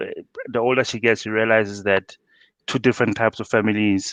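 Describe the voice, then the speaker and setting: This man speaks in a Botswana accent at a medium pitch. His intonation is fairly even, and the sound is dry and close with no echo. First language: Setswana. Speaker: father, podcast guest. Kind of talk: casual chat.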